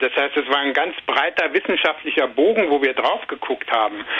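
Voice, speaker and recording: A man at a very fast pace with lively intonation, amid noticeable background noise. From Saarland, Germany. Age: 50s. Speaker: journalist and author. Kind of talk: interview.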